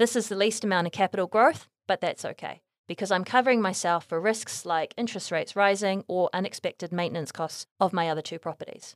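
Speaking with a New Zealand accent, a woman goes at a very fast pace with hardly any pauses, her pitch medium. The sound is dry and close, with no echo. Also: ordinary pitch variation, very clean recording, silent background. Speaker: property investment podcast host. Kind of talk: scripted narration. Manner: reading aloud.

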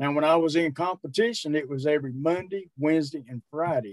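A man with a normal speaking voice talks fairly quickly at a fairly high pitch, with ordinary pitch variation. The sound is dry and close, with no echo. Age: 60s. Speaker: strongman and powerlifter. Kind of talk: casual interview.

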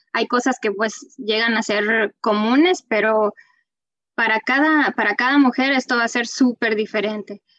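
Recorded dry and close with no echo, a woman speaks at a fairly slow pace with ordinary pitch variation. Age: 30s. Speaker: real estate agent and mother. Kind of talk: casual interview.

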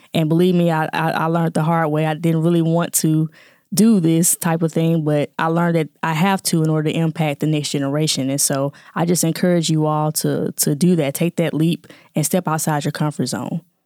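A woman with a Southern US accent at a very deep, low pitch, monotone, flat intonation, very even loudness and a fairly quick pace, in a dry, close sound with no echo on a very clean recording, silent background. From Jackson, Mississippi. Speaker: scientist and nonprofit founder. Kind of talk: interview conversation.

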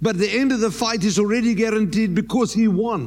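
In an animated tone, a man speaks with a high pitch. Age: 60s. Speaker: pastor. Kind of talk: sermon. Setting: church.

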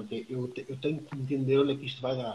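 A man talks at a very fast pace with a European Portuguese accent. His voice is somewhat breathy. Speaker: trainer and public speaker. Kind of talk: casual interview. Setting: Instagram live video stream.

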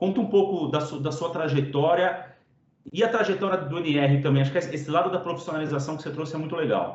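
Fairly high in pitch, a man delivers a plain, everyday voice at a fairly quick pace with fairly even intonation. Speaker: podcast host. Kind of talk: podcast interview. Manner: casual, slangy.

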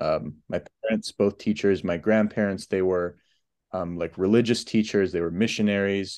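An ordinary speaking voice talks at a moderate pace against a quiet background. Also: man, fairly low pitch for a man, fairly even intonation. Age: 20s. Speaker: new teacher. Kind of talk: casual chat.

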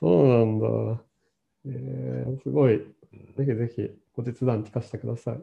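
A man speaks somewhat breathily at a fairly low pitch and a fairly slow pace. His pitch swings very widely, and his loudness swings a lot as well. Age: 30s. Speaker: podcast host. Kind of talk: casual chat. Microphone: no microphone, hard to hear.

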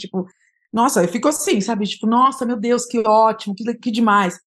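A woman with an unremarkable speaking voice talks at a medium pitch with fairly even intonation against a quiet background. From São Paulo, East Zone. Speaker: journalist. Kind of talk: interview conversation.

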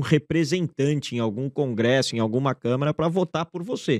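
Here a man with an ordinary speaking voice talks at a fairly quick pace and medium pitch, with ordinary pitch variation and a dry, close sound with no echo. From Canada, Brazilian parents. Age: 40s. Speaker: business school founder and investor. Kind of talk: interview.

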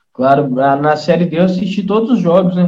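A man with a dark, mellow tone speaks with lively intonation. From Minas Gerais, Brazil (Brumadinho, raised in Nova Lima). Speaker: football fan, amateur player. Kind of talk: casual chat.

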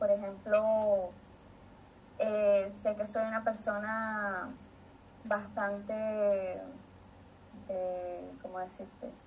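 A woman at medium pitch speaks very slowly in a monotone, flat delivery with long, frequent pauses. Her voice is somewhat breathy, and the room echo is audible. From Venezuela, Maracay. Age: 30s. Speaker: biologist. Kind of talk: panel talk.

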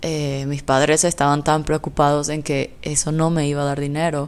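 A woman speaks at a fairly slow pace. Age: 20s. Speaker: podcast host. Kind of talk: solo podcast monologue.

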